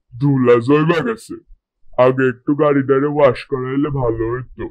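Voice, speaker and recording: Putting on a cartoonish character voice, a man speaks at medium pitch and a fairly slow pace. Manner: whiny, lazy.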